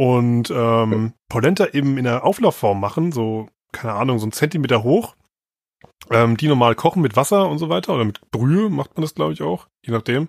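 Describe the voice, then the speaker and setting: On a very clean recording with a silent background, a man with a medium pitch talks at a fairly quick pace. The sound is dry and close with no echo, and his pitch swings very widely. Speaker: podcast co-host. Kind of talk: casual chat.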